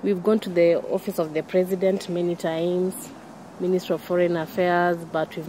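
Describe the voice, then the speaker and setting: A woman speaks at a fairly low pitch and moderate pace in a monotone, flat intonation. The sound is dry with no echo, over light background noise. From Kenya. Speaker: wife of a prisoner, campaigner. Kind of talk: interview testimony; interview answer. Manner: halting, with repetitions and fillers. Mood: distressed, earnest. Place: garden.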